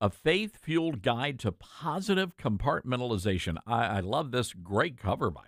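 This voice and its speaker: On a very clean recording with a silent background and a dry, close sound with no echo, a man at a medium pitch talks at a moderate pace with hardly any pauses, very wide pitch swings, and big swings in loudness. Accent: American. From US South. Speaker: radio host. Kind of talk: interview. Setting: studio.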